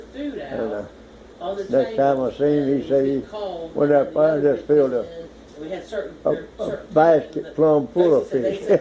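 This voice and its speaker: Here a man with fairly high pitch and lively intonation talks at a fairly slow pace. He takes long, frequent pauses over noticeable background noise. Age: 80s+. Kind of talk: reminiscing in family conversation.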